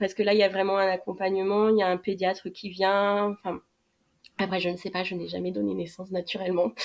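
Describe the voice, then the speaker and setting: Her words come at a fairly quick clip, pitched in the middle range. This woman keeps a flat, monotone delivery. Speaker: adoptive mother sharing her story. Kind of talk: podcast interview. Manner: loud; hesitant, many fillers.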